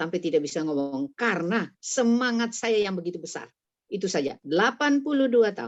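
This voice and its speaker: Fairly quick delivery with very wide pitch swings. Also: woman, medium pitch for a woman. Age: 80s+. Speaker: retired doctor. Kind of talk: casual chat.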